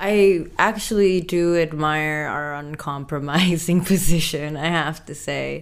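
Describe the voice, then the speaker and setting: In a room with audible echo, a woman with a very deep, low pitch speaks at a fairly slow pace with fairly even intonation. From Indonesia. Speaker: artist. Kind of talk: interview.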